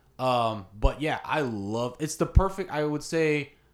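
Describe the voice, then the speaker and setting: In an American accent, a man speaks at a fairly high pitch with lively intonation. The recording is very clean, with a silent background. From Florida (Ocala). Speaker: music video director and co-host. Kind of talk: casual chat. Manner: talkative.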